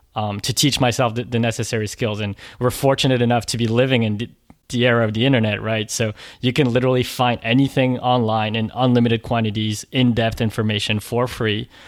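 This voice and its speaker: A man with a French accent at a fairly quick pace, medium in pitch, his intonation fairly even, on a very clean recording with a silent background. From raised internationally, born in France. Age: 20s. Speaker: online content creator. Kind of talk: interview.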